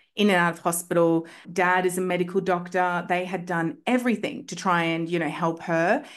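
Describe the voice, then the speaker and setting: With an Australian accent, a woman speaks at a fairly quick pace in a fairly low pitch, with hardly any pauses, against a quiet background. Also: ordinary pitch variation. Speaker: homeopath. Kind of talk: casual chat. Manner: animated.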